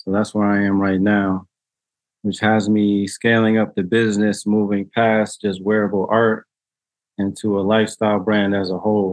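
A man with an American accent speaks at a moderate pace. His pitch is fairly low and his intonation monotone and flat. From New Haven, Connecticut. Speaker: clothing designer and entrepreneur. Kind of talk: casual interview. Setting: video call.

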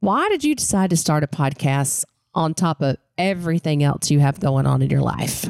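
Speaking in a Southern Appalachian accent, a woman keeps a moderate pace and very even loudness. The sound is dry and close, with no echo. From Western North Carolina mountains. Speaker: podcast co-host. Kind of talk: casual interview chat.

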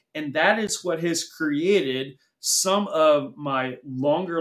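A man with an American accent talks in a plain, everyday voice, fairly high in pitch with ordinary pitch variation. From US. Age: 40s. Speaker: cybersecurity executive. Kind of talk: interview conversation.

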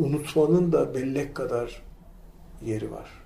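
Over audible room echo, a man talks at a very slow pace. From Turkey, İzmir (Karşıyaka). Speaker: academic. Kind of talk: casual chat. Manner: halting.

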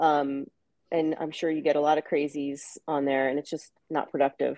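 The woman's voice has a dark, mellow tone and a very deep, low pitch, recorded with a dry, close sound and no echo. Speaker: podcast co-host. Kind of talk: casual chat.

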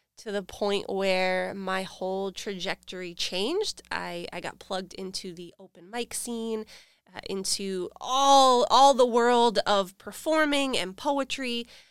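In a very clean recording with a silent background, a woman with an American accent talks in a normal speaking voice, medium in pitch, with ordinary pitch variation and a fairly slow pace. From New Hampshire, US. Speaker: event host and creative curator at a nonprofit. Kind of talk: casual interview. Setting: studio.

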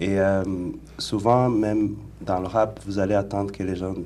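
A man's fairly low-pitched voice with a dark, mellow tone, moving at a fairly slow pace amid audible room echo. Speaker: rapper. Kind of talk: radio interview.

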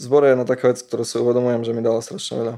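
Pitched at a medium level, a man's voice carries a dark, mellow tone. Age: 20s. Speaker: musician. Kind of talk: casual interview chat. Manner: halting, repeats words.

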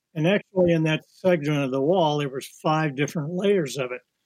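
A man with an unremarkable speaking voice, fairly high in pitch, at a moderate pace, in a dry, close sound with no echo. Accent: American. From Kirksville, Missouri. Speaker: watercolor artist. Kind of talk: interview.

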